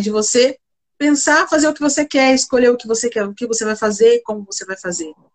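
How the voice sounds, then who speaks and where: A woman speaks in an ordinary speaking voice at a fairly high pitch, with lively intonation and a moderate pace. The sound is dry and close with no echo. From interior of São Paulo state, Brazil (Bebedouro). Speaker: corporate leader in procurement, economist. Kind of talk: live-stream interview.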